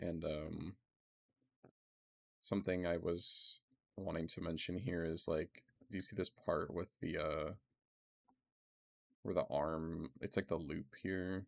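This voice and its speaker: A man with a very deep, low pitch speaks at a very slow pace with fairly even intonation. He takes long, frequent pauses. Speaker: modding tutorial creator. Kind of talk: tutorial. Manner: casual, hesitant with many fillers.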